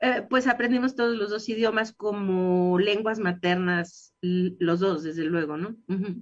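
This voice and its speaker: A woman at medium pitch speaks at a fairly slow pace with hardly any pauses and ordinary pitch variation. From Mexico. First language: English (speaking Spanish). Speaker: dental scientist. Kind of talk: radio interview.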